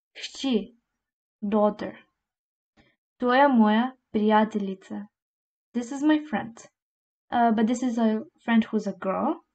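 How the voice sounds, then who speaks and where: Somewhat breathy speech comes at a very slow pace with ordinary pitch variation and long, frequent pauses. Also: woman, fairly high pitch for a woman. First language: Slovene. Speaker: language teacher. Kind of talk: tutorial.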